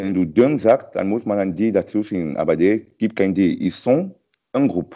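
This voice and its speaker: A man speaks with a French accent and a fairly low pitch. His pitch variation is ordinary and his pace moderate. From Cameroon. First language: French (speaking German). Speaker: French tutor. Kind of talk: language lesson chat. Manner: halting.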